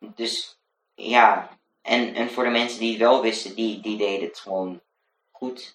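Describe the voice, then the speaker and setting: A man's monotone, medium-pitched voice at a fairly slow pace, with big swings in loudness. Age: 20s. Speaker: student teacher and blogger. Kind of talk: casual interview chat. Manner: hesitant, many fillers.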